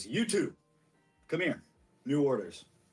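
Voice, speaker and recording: Music plays in the background as a man puts on a character voice. His voice is gruff and fairly high in pitch. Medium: actual play. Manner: curt, gruff.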